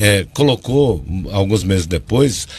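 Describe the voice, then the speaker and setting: A man speaks at a fairly slow pace in a fairly low pitch. His voice swings very widely in pitch. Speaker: political communication consultant. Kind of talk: TV news interview. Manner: loud; animated.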